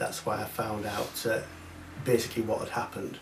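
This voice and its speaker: A man speaks in a monotone with flat intonation. Noticeable background noise and audible room echo fill the recording. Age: 60s. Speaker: visitor interviewed about family history. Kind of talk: interview. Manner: hesitant, many fillers.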